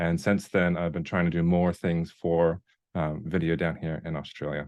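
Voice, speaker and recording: With a North Dakota accent, a man speaks at a moderate pace in a very deep, low pitch and monotone, flat intonation. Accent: American, North Dakota. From US Upper Midwest, North Dakota. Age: 30s. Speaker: video content creator and ministry worker. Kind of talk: online workshop presentation. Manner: halting, many fillers.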